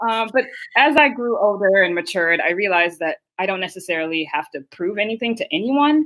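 At a fairly quick pace, a woman talks at a medium pitch with very wide pitch swings. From Haiti and South Florida. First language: Haitian Creole. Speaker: data science educator and founder. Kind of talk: casual interview.

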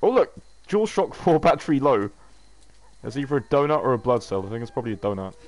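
A man with an English accent talks at a very fast pace, broken by long, frequent pauses. His medium pitch makes very wide swings. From England. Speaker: gaming YouTuber. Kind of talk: gameplay commentary. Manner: casual, frequent fillers and swearing.

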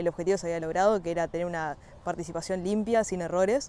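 A woman in a Uruguayan accent talks at a very fast pace with ordinary pitch variation, in a dry sound with no echo. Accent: Rioplatense Spanish (Uruguayan). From Uruguay, Montevideo area. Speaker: equestrian athlete (dressage). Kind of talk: personal testimony. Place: farm machine.

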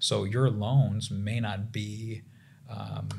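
A man talks in a fairly low voice with fairly even intonation and an American accent. Light background noise can be heard. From US South. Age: 30s. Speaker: family physician; guest. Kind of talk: casual chat. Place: studio. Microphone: studio mic.

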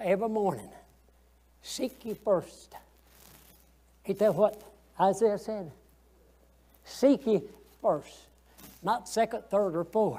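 Speaking with a Southern US accent, a man has a dark, mellow tone and a high pitch, with ordinary pitch variation. His pace is very slow, with long, frequent pauses. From US South. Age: 80s. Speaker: Sunday school teacher. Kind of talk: Sunday school Bible lesson. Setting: church. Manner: folksy, conversational; halting, repeats words. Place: church.

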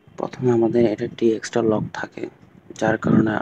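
The man's voice has a dry, close sound with no echo, with noticeable background noise behind it. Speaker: tech tutorial creator. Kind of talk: screen-recorded tech tutorial narration. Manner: casual, explanatory.

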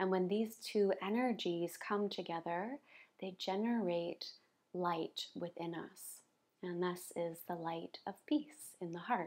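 Speaking at a very slow pace, a woman uses a fairly low pitch with ordinary pitch variation. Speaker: yoga teacher. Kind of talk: guided yoga instruction. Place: home room.

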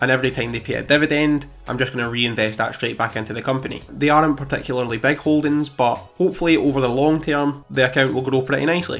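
Faint music plays behind a man who talks at a very fast pace with fairly even intonation. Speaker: finance youtuber. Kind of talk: portfolio update vlog. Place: home room. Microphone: studio mic.

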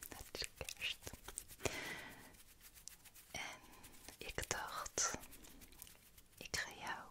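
Very slowly, a woman whispers. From Netherlands. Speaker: ASMR content creator. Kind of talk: ASMR whisper talk to camera. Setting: close-up studio microphone. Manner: whispered, soft, relaxing. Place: home room. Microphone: studio mic.

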